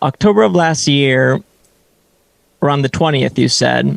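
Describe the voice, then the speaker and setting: The recording of a man with a fairly high-pitched voice sounds dry and close, with no echo. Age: 30s. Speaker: fitness coach. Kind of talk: interview podcast. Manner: many fillers and false starts.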